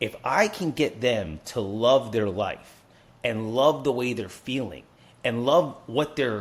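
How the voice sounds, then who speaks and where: A man with an American accent speaks at a medium pitch with vocal fry. His pitch swings very widely. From New Jersey. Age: 40s. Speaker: life coach. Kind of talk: interview conversation.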